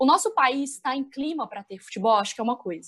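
A woman's high voice with very wide pitch swings, a strong Minas Gerais accent, and a moderate pace. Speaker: sports journalist. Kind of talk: casual discussion. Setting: remote call.

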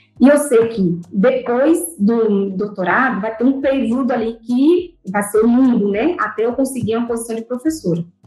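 A woman speaks in a plain, everyday voice at a fairly high pitch and a moderate pace. She uses ordinary pitch variation and hardly any pauses. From Brazil, Bahia (Salvador). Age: 30s. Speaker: doctoral student. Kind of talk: interview.

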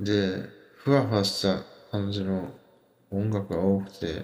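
Audible room echo surrounds a man who speaks at a fairly low pitch and a very slow pace. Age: 20s. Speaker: podcast host. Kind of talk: casual monologue on music and internet culture. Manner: hesitant, many fillers.

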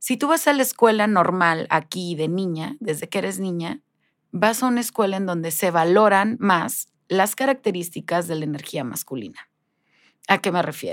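A woman with a normal speaking voice and medium pitch talks at a moderate pace with lively intonation, on a very clean recording with a silent background. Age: 40s. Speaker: life coach. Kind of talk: interview.

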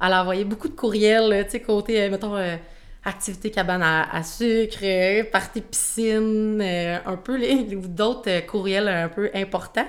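Speaking at a very slow pace, a woman holds a medium pitch with ordinary pitch variation. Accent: Quebec. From Quebec, Shawinigan. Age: 20s. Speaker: sales representative. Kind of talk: casual chat.

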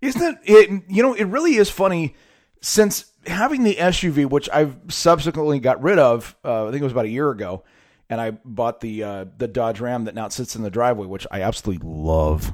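A man speaks at medium pitch with an American accent. His pitch swings very widely and his loudness shifts a lot. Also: fairly quick pace, very clean recording, silent background. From California. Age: 30s. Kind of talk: casual monologue. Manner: conversational with frequent fillers.

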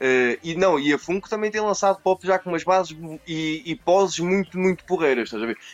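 The man's voice sits at a high pitch with ordinary pitch variation. He talks at a moderate pace. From Portugal, born in Brazil. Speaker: toy collector, video creator. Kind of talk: casual chat.

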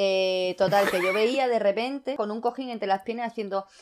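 This woman has a medium pitch and ordinary pitch variation, with a normal speaking voice. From Andalusia, Costa del Sol (Fuengirola). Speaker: podcast guest, design student. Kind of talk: casual chat.

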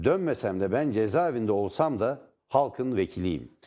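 On a very clean recording with a silent background, a man with a dark, mellow tone and medium pitch speaks at a moderate pace with lively intonation. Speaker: TV news commentary host. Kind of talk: political talk show commentary. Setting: TV studio.

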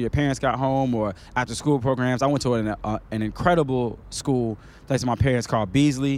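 Speaking with an American accent, this man has a medium pitch. His pace is fairly quick and his intonation fairly even. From US South and Chicago (born Queens, New York). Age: 30s. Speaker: music artist manager, former hip hop artist. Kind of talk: casual chat. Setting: outdoors under a bridge.

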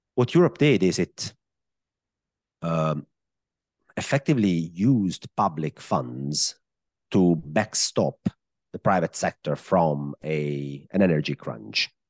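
A man with an Italian accent and a very deep, low pitch speaks at a very slow pace with long, frequent pauses, in a dry, close sound with no echo. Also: lively intonation. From Italy. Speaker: macro analyst and fund manager. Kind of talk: casual interview.

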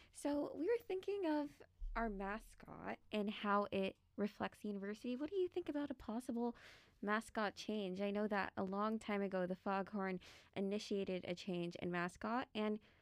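Recorded very cleanly against a silent background with a dry, close sound and no echo, a woman speaks in an ordinary speaking voice at a moderate pace, with a medium pitch and ordinary pitch variation. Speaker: student newspaper editor, podcast host. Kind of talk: casual interview.

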